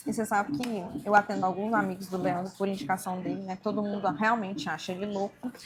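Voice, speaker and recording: A woman with a medium pitch and ordinary pitch variation rushes along at a very fast pace with hardly any pauses, over noticeable background noise. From Brazil, rural interior. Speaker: barber and podcast host. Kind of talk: interview.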